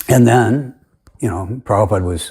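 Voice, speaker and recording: A somewhat breathy voice with ordinary pitch variation moves at a moderate pace on a very clean recording with a silent background. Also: man. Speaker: religious commentator. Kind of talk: monologue argument video. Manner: halting.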